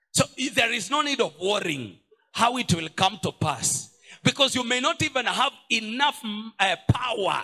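Over a quiet background, a man's raised, projected voice comes through with a bright, sharp tone. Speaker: pastor. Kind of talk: sermon. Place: church. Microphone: handheld.

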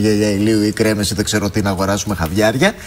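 A man's voice, fairly low in pitch. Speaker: TV news host. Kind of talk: TV interview.

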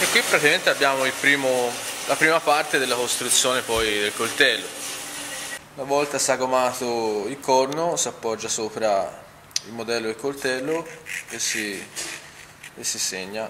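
Over light background noise, a man with a medium pitch speaks at a fairly slow pace with long, frequent pauses and ordinary pitch variation. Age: 30s. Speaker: knife maker. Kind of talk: workshop demonstration. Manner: halting, with repeated words. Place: workshop. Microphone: phone near.

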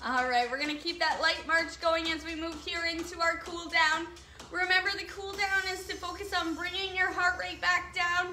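A woman projects her raised voice at a moderate pace, her tone bright and sharp, with audible room echo and light background noise. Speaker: fitness instructor. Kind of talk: workout instruction. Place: open country. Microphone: camera far.

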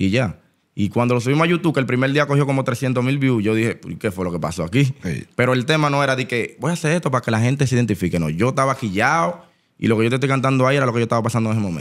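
A man talks at a very fast pace in a Dominican accent. The background is quiet. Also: medium pitch for a man, lively intonation. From Dominican Republic. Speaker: rapper; podcast guest. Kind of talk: casual interview. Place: studio. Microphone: studio mic.

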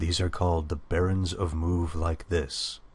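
A man speaks at a fairly slow pace in a very deep, low, somewhat breathy voice over a quiet background. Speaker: narrator reading game lore. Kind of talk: dramatic narration of fantasy scripture. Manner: solemn, theatrical, mythic.

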